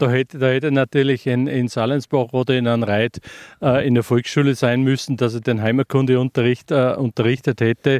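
Over a quiet background, a man at medium pitch speaks in a monotone, flat way with a dry, close sound and no echo. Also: moderate pace. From Upper Austria, Rohrbach district. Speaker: retired teacher. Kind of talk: interview.

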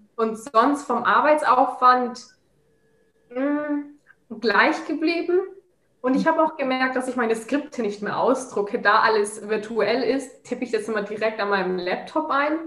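High-pitched speech from a woman at a fairly slow pace. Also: ordinary pitch variation. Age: 20s. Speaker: master's student. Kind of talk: casual interview.

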